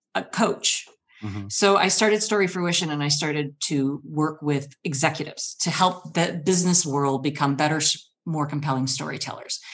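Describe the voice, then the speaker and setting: A woman with a normal speaking voice talks at a moderate pace and a fairly low pitch. Her intonation is lively. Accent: American. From US Midwest (Michigan). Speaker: storyteller and public speaking coach. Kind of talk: storytelling performance.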